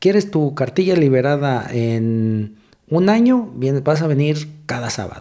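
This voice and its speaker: A man's dark, mellow voice at a fairly high pitch, fairly slow pace and very wide pitch swings. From Mexico City. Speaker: police officer. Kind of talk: casual interview. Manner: halting.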